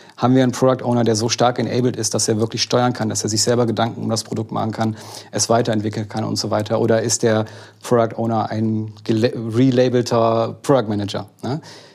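A man's medium-pitched voice at a fairly quick pace, monotone and flat in intonation, with noticeable background noise. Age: 40s. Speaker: agile coach. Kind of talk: casual chat.

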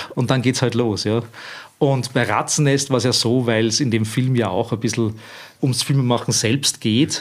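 A man with an ordinary speaking voice talks at a medium pitch and moderate pace, with very even loudness and fairly even intonation. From Austria, Lower Austria (Weinviertel, Stockerau). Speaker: filmmaker and artist. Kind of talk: interview conversation.

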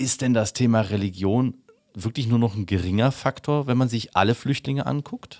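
A man speaks in an ordinary speaking voice at a medium pitch and moderate pace, with ordinary pitch variation and a dry, close sound with no echo. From Upper Bavaria. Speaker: podcast host. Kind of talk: interview.

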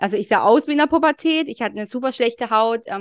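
Recorded with a dry, close sound with no echo and a quiet background, a woman speaks with ordinary pitch variation. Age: 30s. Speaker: fertility and cycle coach. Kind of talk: interview. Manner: hesitant, many fillers.

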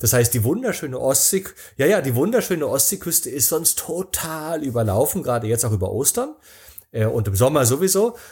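Somewhat breathy and fairly high-pitched, a man talks at a fairly quick pace with very wide pitch swings. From East Germany, Rostock. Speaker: travel speaker and author. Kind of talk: casual interview. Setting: remote call.

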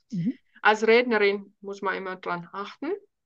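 In a Finnish accent, a woman speaks with a bright, sharp tone against a quiet background. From Finland. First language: Finnish (speaking German). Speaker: speech coach. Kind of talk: interview.

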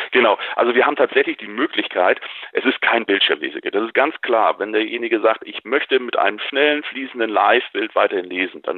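A man with a northern German accent, speaking at a fairly quick pace. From northern Germany. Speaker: assistive technology company representative. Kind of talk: product interview. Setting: phone call.

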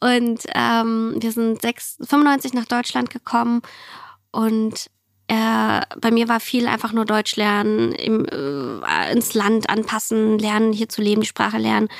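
A woman's fairly high voice at a very slow pace, with very even loudness and fairly even intonation. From former Soviet Union, raised in Germany from age 5-6. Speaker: entrepreneur and climate activist. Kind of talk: interview.

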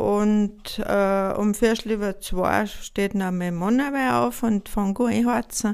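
A woman's ordinary speaking voice at medium pitch, fairly slow in pace with ordinary pitch variation, on a very clean recording with a silent background. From Austria, Tyrol (Pillerseetal). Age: 60s. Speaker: farm woman and bread baker. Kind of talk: casual interview chat. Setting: at her farmhouse kitchen and bake oven.

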